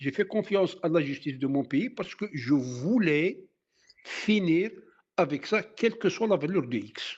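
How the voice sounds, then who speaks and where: A high-pitched male voice, very wide swings in pitch, and a fairly slow pace. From Algeria (Kabylie). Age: 60s. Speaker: former activist. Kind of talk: interview testimony. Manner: halting.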